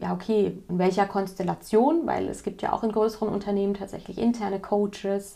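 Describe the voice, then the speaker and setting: Her voice is medium in pitch for a woman, with a dark, mellow tone. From West Germany. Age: 40s. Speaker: parenting coach. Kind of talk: casual interview. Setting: in-person in a coaching room.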